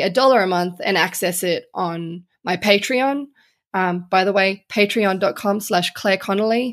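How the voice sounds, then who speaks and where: Here a woman speaks in an Australian accent at a moderate pace, at a medium pitch with ordinary pitch variation. The recording is very clean, with a silent background. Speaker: journalist. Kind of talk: interview conversation.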